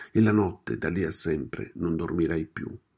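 His voice carries a creaky vocal fry. The audio is very clean, and the background is silent. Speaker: radio host.

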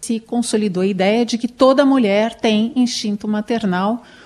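A woman's fairly high-pitched, unremarkable speaking voice at a fairly slow pace. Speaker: radio host. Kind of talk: radio talk show.

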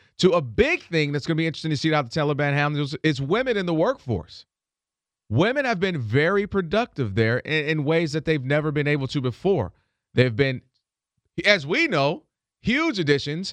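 In an American accent, a man with an ordinary speaking voice talks at a fairly high pitch and a fairly quick pace with lively intonation, recorded with a dry, close sound, no echo and a quiet background. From Michigan, Ann Arbor. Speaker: radio host. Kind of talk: morning radio talk show.

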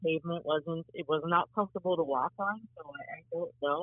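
A woman's fairly low voice at a moderate pace. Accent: American. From US Midwest, Cincinnati, Ohio. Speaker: sports journalist, beat writer. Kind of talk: casual interview. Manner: halting, frequent repeated words and fillers.

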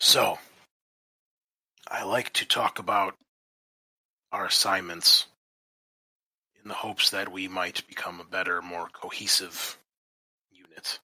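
Using a put-on character voice, a man speaks raspy and very deep at a fairly slow pace, with long, frequent pauses. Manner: measured, authoritative, commanding.

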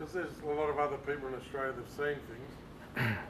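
Noticeable background noise accompanies this recording of a man. He talks at a very fast pace with a fairly high pitch. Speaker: audience member. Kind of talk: audience question. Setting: stage with audience. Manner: loud; halting.

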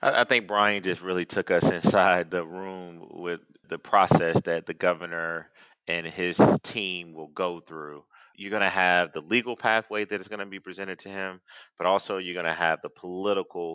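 With an American accent, the voice moves at a moderate pace in a monotone, flat intonation and a bright, sharp tone. Loudness swings widely, and the sound is dry and close with no echo. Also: man, very deep, low pitch for a man. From Georgia, US (Athens). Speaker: Democratic political strategist. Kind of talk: political panel discussion.

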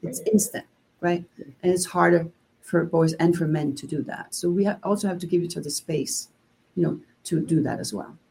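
A woman's somewhat breathy, dark and mellow voice, fairly low in pitch, with ordinary pitch variation, a moderate pace and big swings in loudness. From Denmark. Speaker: gender diversity consultant and author. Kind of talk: interview.

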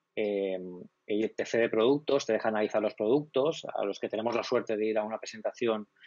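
The man's pitch sits in the medium range. He talks at a fairly quick pace with fairly even intonation. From Spain, Alicante province. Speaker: tech blog director. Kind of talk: casual interview chat. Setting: live stream. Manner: fluent, communicator.

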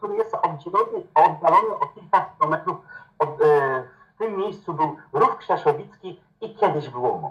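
A man at a moderate pace. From Lower Silesia, Poland. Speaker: tour guide and technical teacher. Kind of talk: interview.

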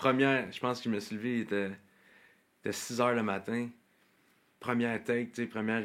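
A man talks fairly quickly at a medium pitch, with long, frequent pauses. His intonation is monotone and flat. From Quebec, South Shore of Montreal. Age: 20s. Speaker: country singer. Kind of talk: casual interview.

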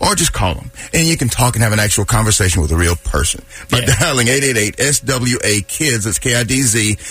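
A man of medium pitch talks at a very fast pace with lively intonation. Noticeable background noise is present. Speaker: radio co-host. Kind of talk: radio co-host banter. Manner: upbeat, friendly, enthusiastic.

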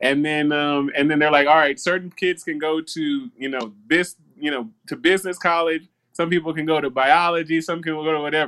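In an American accent, a man talks fairly quickly at a fairly high pitch, his tone bright and sharp. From US South. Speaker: tech entrepreneur and inventor. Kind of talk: casual interview. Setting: video call. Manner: energetic.

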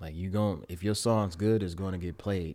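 Recorded very cleanly over a silent background, a man with an American accent speaks at a very deep, low pitch, a moderate pace and with fairly even intonation. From Pontiac, Michigan, US. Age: 20s. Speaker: YouTuber and rapper. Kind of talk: casual chat.

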